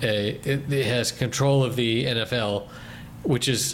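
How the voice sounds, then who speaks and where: A man with a plain, everyday voice, fairly slow, with ordinary pitch variation. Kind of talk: casual chat.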